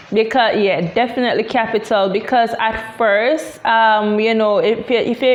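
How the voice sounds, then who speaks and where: Against noticeable background noise, a woman with a Jamaican accent talks in a fairly high pitch with fairly even intonation. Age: 20s. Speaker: tech entrepreneur. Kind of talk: interview. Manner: halting, many fillers.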